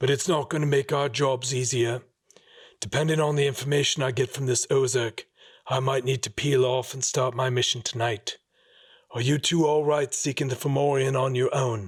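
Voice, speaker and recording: A man puts on a raspy character voice at a medium pitch. He keeps a moderate pace and fairly even intonation. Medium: read story. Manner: terse, blunt.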